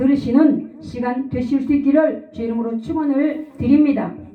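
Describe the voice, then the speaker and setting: With audible room echo, a woman speaks in a high pitch and fairly even intonation. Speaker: pastor. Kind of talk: sermon.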